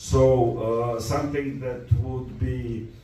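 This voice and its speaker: A man with a Serbian accent and ordinary pitch variation, amid noticeable background noise and audible room echo. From Balkans (Serbia). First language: Serbo-Croatian. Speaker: film critic. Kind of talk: talk to an audience. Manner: halting, many fillers.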